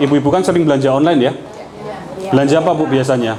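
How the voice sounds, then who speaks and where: A man with a Yogyakarta accent at a very fast pace, with fairly even intonation, audible room echo and crowd noise in the background. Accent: Javanese Yogyakarta. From Indonesia, Yogyakarta. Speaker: politician. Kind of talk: campaign talk to local women's group. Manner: conversational, informal.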